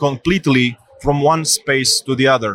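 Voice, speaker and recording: The voice has a bright, sharp tone and a dry, close sound with no echo. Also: man. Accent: Romanian. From Romania. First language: Romanian. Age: 30s. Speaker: bank technology executive. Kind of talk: interview. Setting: tech conference.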